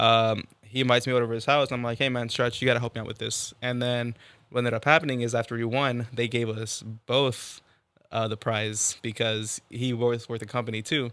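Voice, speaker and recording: Medium in pitch, a man speaks with an American accent in a monotone, flat way. His pace is fairly quick. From Texas. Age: 20s. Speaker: rapper. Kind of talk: casual interview.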